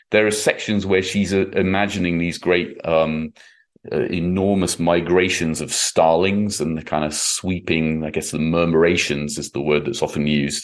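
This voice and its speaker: With an English accent, a man speaks at a moderate pace in a very deep, low pitch, his intonation fairly even against a quiet background. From England. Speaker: classical violinist and author. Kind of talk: interview.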